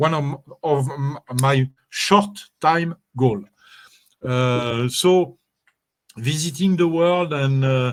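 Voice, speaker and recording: With a French accent, a man speaks at a very slow pace and a fairly high pitch. His pitch varies in an ordinary way, and he leaves long, frequent pauses. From France. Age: 60s. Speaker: network marketing promoter, former DJ. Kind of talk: interview. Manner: halting, many fillers.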